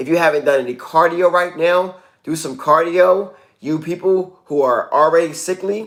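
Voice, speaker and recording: A man with a high pitch talks at a moderate pace with fairly even intonation. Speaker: wellness coach. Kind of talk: casual livestream talk.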